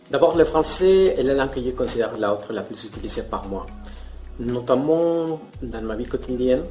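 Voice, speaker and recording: With music in the background, the voice swings widely in loudness amid audible room echo. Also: man, fairly quick pace. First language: Spanish. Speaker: polyglot language youtuber. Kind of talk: scripted multilingual demonstration.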